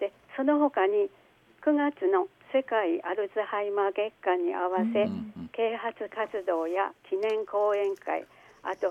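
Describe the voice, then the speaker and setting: A woman's medium-pitched voice, with ordinary pitch variation and a very slow pace. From Aomori, northern Japan. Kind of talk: interview. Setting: phone call.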